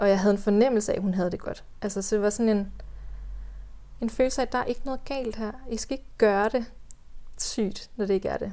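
Long, frequent pauses break up this woman's fairly quick pace. Her tone is dark and mellow, with a fairly high pitch and fairly even intonation. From West Jutland, Denmark. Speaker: doula. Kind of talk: personal birth story in podcast interview.

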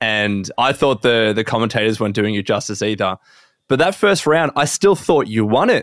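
Recorded very cleanly against a silent background, a man with an Australian accent speaks at a medium pitch and a moderate pace. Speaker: podcast host. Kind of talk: casual chat.

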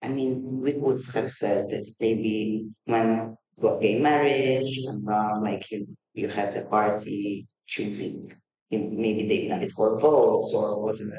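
At a very slow pace, a man speaks with a dark, mellow tone, medium pitch, and fairly even intonation. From Malta. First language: Maltese. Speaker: multidisciplinary artist. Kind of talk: casual interview. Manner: halting.

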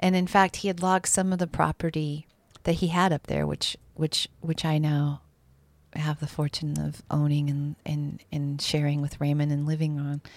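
A woman's very deep, low voice with an American accent, monotone and flat at a moderate pace, dry and close with no echo on a very clean recording with a silent background. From Montana, US (Bozeman). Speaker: artist and sculptor. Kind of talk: casual interview chat.

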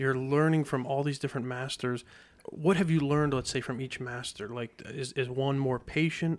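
A man speaks at a moderate pace in an ordinary speaking voice. His pitch is fairly high, with fairly even intonation. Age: 30s. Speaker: podcast host. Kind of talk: interview. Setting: studio.

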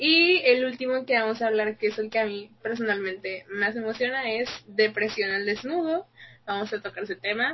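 Speaking at a moderate pace, a woman uses an ordinary speaking voice with fairly high pitch and ordinary pitch variation. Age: young. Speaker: podcast co-host, fashion design student. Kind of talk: casual chat.

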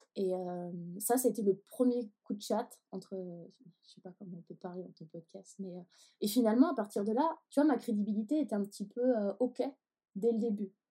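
A woman with a fairly high pitch and a dark, mellow tone sounds somewhat breathy, leaving long, frequent pauses. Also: ordinary pitch variation, moderate pace. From Paris. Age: 20s. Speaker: photographer. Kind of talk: interview.

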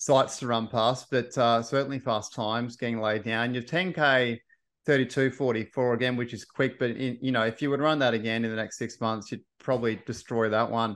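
With an Australian accent, a man speaks at a moderate pace and medium pitch, his intonation fairly even against a quiet background. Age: 30s. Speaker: podcast host. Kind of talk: interview.

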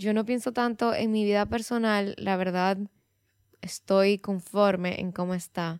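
With a normal speaking voice, a woman at medium pitch talks at a fairly slow pace and with fairly even intonation on a very clean recording with a silent background. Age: 20s. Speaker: podcast host. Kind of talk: solo podcast monologue. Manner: casual, conversational.

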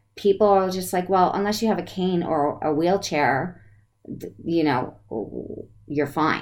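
Fairly slow speech with an American accent. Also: woman. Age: 50s. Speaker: podcast host. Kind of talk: interview. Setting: live video broadcast.

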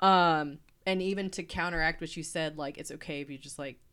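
Fairly even in intonation and fairly quick in pace, the voice comes through a very clean recording with a silent background. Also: woman. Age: 30s. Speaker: podcast co-host, early childhood specialist. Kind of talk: casual chat.

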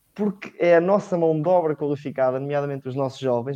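An ordinary speaking voice from a man, fairly high in pitch. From Portugal, Leiria. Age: young. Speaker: economics student, panelist. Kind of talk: political discussion. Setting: online livestream.

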